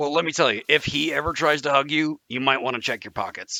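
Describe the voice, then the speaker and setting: A man does a raspy put-on character voice at a fairly high pitch and a very fast pace, in a very clean recording with a silent background. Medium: actual play. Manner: earnest, simple-minded.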